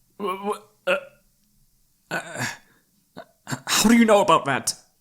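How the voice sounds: A man puts on a character voice, high-pitched with a fairly bright tone. He speaks at a slow pace with lively intonation.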